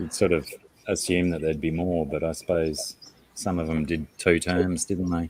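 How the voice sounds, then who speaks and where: A man's very deep, low pitch in a monotone, flat intonation at a moderate pace. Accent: Australian. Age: 40s. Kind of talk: casual chat.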